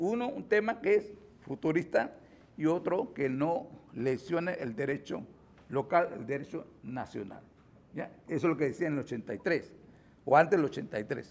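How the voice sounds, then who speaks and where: A man's fairly high voice with very wide pitch swings, a moderate pace and long, frequent pauses. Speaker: lawyer and forum speaker. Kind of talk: lecture. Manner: halting.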